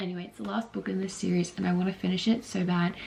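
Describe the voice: The voice moves at a fast pace with fairly even intonation and a slightly mellow tone. It has a husky, rough edge and vocal fry. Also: woman, fairly low pitch for a woman.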